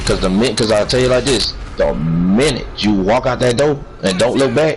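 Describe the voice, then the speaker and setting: A man at medium pitch speaks at a fairly slow pace, with audible room echo and noticeable background noise. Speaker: livestream chat participant. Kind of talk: casual chat. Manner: quieter than usual, holding back volume; repetitive, stumbling restarts.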